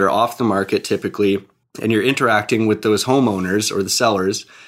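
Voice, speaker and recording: On a very clean recording with a silent background, a man with an ordinary speaking voice talks at a fairly quick pace, his pitch fairly low and his intonation fairly even. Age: 20s. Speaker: real estate investor. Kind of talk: podcast interview.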